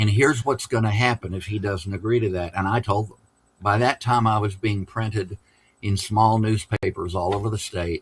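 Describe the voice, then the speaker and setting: In a very clean recording with a silent background, a man speaks in a fairly low, somewhat breathy voice with fairly even intonation. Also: moderate pace. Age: 70s. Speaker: newspaper editor. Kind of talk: panel discussion, personal anecdote.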